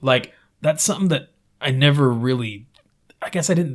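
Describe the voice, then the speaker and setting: With an American accent, a man speaks at a very fast pace. His voice is somewhat breathy, with ordinary pitch variation. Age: 30s. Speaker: podcast host. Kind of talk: casual interview chat.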